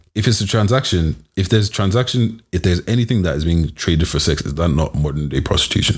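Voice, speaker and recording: A man with a London accent talks very fast in a very deep, low voice, somewhat breathy, with lively intonation. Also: hardly any pauses. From Nigeria (Yoruba), raised in London. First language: Yoruba. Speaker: podcast co-host. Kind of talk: casual chat.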